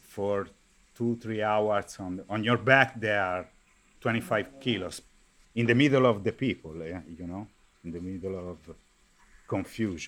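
Speaking in an Italian accent, a man uses a fairly low pitch with ordinary pitch variation, a fairly slow pace, long, frequent pauses, and big swings in loudness. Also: very clean recording, silent background. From Viareggio, Tuscany, Italy. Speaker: carnival artisan. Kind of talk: interview.

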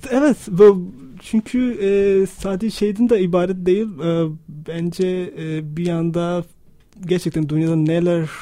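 A man's high-pitched voice with a dark, mellow tone. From Pakistan. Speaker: radio listener and supporter, architect. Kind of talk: radio interview. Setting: radio studio. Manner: halting, many fillers.

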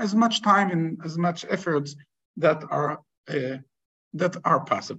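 This man speaks with an Israeli accent. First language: Hebrew. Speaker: rabbi. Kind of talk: lecture. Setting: video call. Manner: halting.

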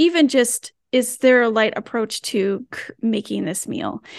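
A woman at a fairly slow pace, with vocal fry, in a dry, close sound with no echo and a quiet background. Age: 40s. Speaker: wellness app team member. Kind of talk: casual conversation.

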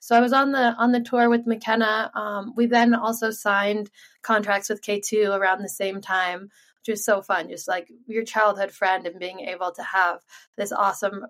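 A woman speaks at a moderate pace with an American accent, in a plain, everyday voice. Her pitch sits in the middle range, and her intonation stays fairly even. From Sun Valley, Idaho, US. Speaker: pro freeskier. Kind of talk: interview. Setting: video call.

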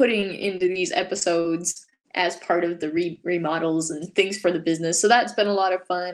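A woman's normal speaking voice in an American accent, medium in pitch, with fairly even intonation at a moderate pace. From Utah. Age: 20s. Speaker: hand lettering artist. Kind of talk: interview.

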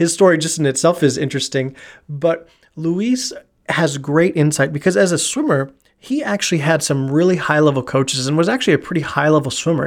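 A man's plain, everyday voice, fairly high in pitch, at a fairly quick pace. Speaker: podcast host and dryland coach. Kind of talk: podcast intro and interview.

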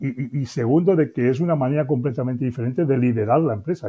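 Talking at a very fast pace, a man keeps a medium pitch. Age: 60s. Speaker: business consultant. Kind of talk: interview.

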